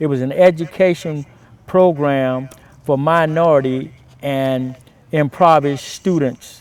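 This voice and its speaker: With an American accent and an unremarkable speaking voice, a man speaks at a fairly slow pace, his fairly high pitch showing ordinary variation. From Florida, then Denver, Colorado from age 16. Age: 60s. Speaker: martial arts master. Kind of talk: interview monologue.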